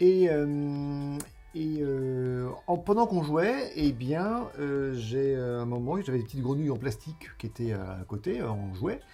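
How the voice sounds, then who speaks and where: A man's dark, mellow voice, very slow in pace, with lively intonation. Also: fairly high pitch for a man. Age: 50s. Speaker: game designer and illustrator. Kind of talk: interview. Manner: halting, many filler sounds.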